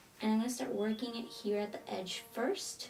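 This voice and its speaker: A woman's moderately paced talk at a fairly high pitch, music running behind it. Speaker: beauty vlogger. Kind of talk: tutorial. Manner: casual.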